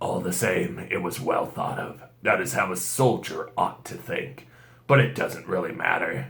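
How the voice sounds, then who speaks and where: A man puts on a character voice at a moderate pace. An echo is audible in the recording. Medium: read story. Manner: grave, measured.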